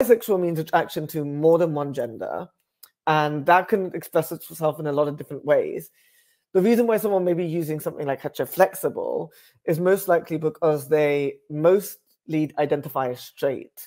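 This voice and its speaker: Over a quiet background, a man with a British accent speaks at a moderate pace, his fairly high pitch showing ordinary variation. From West London, England. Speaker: writer and public speaker. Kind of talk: casual explainer to camera. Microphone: earbuds.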